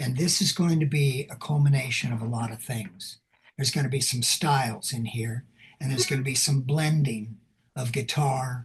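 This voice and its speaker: A somewhat breathy man's voice at a moderate pace. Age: 70s. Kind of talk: interview. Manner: animated.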